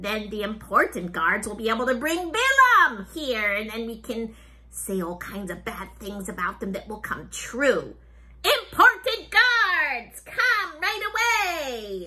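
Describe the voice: A woman puts on a character voice at a high pitch, delivered at a fairly slow pace.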